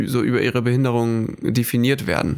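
This man has a normal speaking voice at a medium pitch. He keeps a moderate pace. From northern Germany (Hamburg, Föhr). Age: 20s. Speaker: student, podcast co-host. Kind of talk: casual chat.

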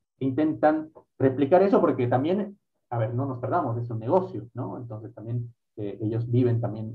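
The man's voice is medium in pitch and somewhat breathy. He speaks at a moderate pace with ordinary pitch variation. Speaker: podcast host. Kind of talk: casual interview chat.

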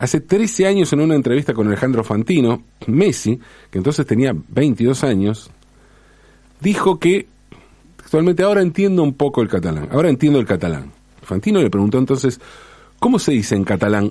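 A man with a Rioplatense accent and a medium pitch speaks at a fairly quick pace in a dark, mellow tone, with very wide pitch swings and long, frequent pauses. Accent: Argentine Rioplatense Spanish. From Argentina. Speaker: commentator on language and football. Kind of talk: monologue essay.

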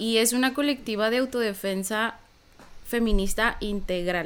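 The delivery comes at a fairly slow pace with ordinary pitch variation. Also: woman. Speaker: psychologist and activist. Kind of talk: interview.

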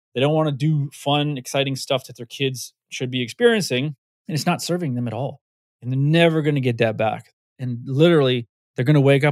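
In a plain, everyday voice, a man speaks at a fairly quick pace and fairly high pitch, with a dry, close sound with no echo on a very clean recording with a silent background. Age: 50s. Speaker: fitness community founder. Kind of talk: casual interview.

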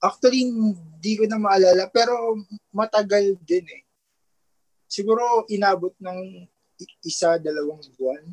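A man with a high voice talks at a fairly slow pace, his loudness swinging widely. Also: ordinary pitch variation, dry, close sound with no echo. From Philippines, Taguig. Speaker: newlywed guest. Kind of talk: casual chat.

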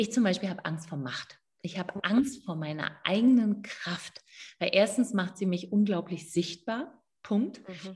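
A woman with a medium-pitched, somewhat breathy voice speaks at a fairly slow pace, showing ordinary pitch variation and big swings in loudness. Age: 50s. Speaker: midwife and women's coach. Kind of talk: interview.

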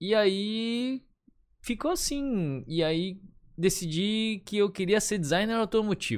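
A man speaks at a very slow pace in a high voice with ordinary pitch variation. The recording is very clean, with a silent background. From Florianópolis, southern Brazil. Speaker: advertising photographer. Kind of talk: casual chat.

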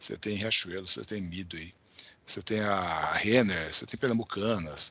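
The speaker talks at a moderate pace with an unremarkable speaking voice. Pitch variation is ordinary. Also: man. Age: 50s. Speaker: tech company founder and CEO. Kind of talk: interview.

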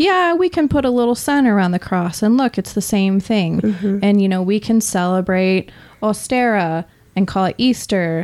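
An ordinary speaking voice, with lively intonation and very even loudness, proceeds at a moderate pace. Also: woman, medium pitch for a woman. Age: young. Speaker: modern pagan practitioner in alcohol recovery. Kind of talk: casual chat.

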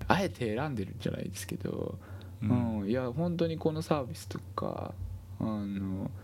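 Big swings in loudness and lively intonation mark this man's fairly low-pitched voice, which moves at a moderate pace with audible room echo. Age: 40s. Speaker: healthcare worker and gaming podcast co-host. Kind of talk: casual chat.

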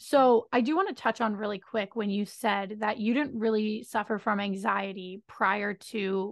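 Against a quiet background, a plain, everyday voice moves at a moderate pace with fairly even intonation. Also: woman. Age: 20s. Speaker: podcast host. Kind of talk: interview conversation.

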